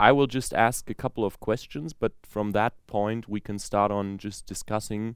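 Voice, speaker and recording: A man's ordinary speaking voice, fairly low in pitch, at a fairly slow pace. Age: young. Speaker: podcast host, young saxophonist. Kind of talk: moderated interview.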